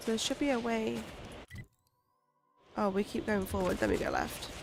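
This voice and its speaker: Music plays behind a woman who speaks at a moderate pace with very even loudness. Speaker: gaming streamer. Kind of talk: live gaming stream commentary.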